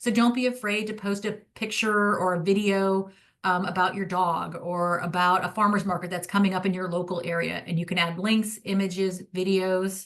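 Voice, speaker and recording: A woman at a medium pitch and a moderate pace, monotone, flat intonation, hardly any pauses, and a quiet background. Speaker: social media marketing rep. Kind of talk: product demo presentation to realtors.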